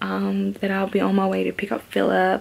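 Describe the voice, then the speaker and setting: In an Australian accent, a woman talks at a moderate pace with noticeable background noise behind her. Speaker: vlogger. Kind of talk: casual vlog chat.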